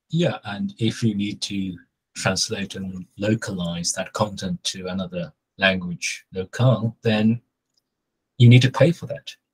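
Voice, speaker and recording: A man with a fairly low pitch speaks at a fairly slow pace, somewhat breathy. His intonation is lively and his loudness swings widely. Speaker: SEO consultant. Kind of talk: casual chat. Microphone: video call.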